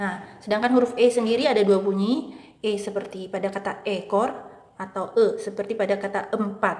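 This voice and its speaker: Speech with a slight Maluku accent and fairly even intonation, over noticeable background noise. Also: woman. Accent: light Maluku accent and dialect. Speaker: English and Mandarin tutor. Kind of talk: educational tutorial talk.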